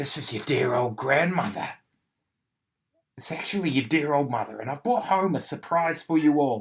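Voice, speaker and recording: Putting on a growling character voice, a man speaks at a fairly high pitch and a moderate pace with long, frequent pauses. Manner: sly, feigning sweetness.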